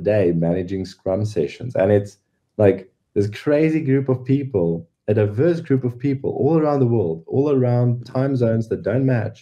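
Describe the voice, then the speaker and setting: With a South African accent, a man speaks at a moderate pace and with ordinary pitch variation. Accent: Afrikaans-accented English. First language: Afrikaans. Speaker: NFT project founder. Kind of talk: podcast interview. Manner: hesitant, many fillers.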